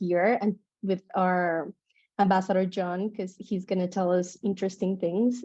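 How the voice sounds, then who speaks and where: With a Spanish accent, a woman speaks at a medium pitch in a monotone with flat intonation. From Colombia, Bucaramanga. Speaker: digital nomad association team member. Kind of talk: webinar introduction.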